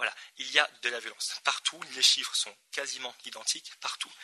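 A man speaks at a moderate pace. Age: 20s. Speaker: NGO co-founder. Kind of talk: conference talk.

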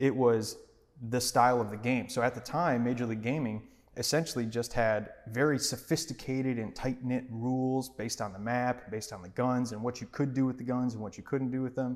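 A man with an American accent talks at a fairly quick pace, his pitch medium. He has a plain, everyday voice with fairly even intonation. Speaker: podcast co-host, entrepreneur. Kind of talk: casual chat.

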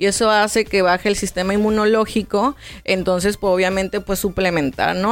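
This woman has a plain, everyday voice at medium pitch. Her intonation stays fairly even. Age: 30s. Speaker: nutritionist. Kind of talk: interview.

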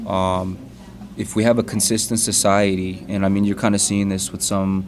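A man talks at a fairly low pitch. Noticeable background noise runs underneath. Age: 30s. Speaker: aerospace engineer and church member. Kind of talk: casual chat.

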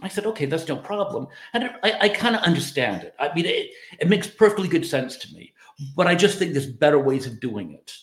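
Talking at a very fast pace, a man uses a high pitch and lively intonation. His loudness swings a great deal. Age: 50s. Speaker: dating advice vlogger. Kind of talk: casual monologue. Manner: halting, many fillers.

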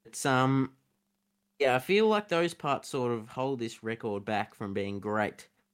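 A man with an Australian accent speaks at a fairly slow pace and with ordinary pitch variation, recorded very cleanly against a silent background. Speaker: podcast co-host. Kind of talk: casual chat.

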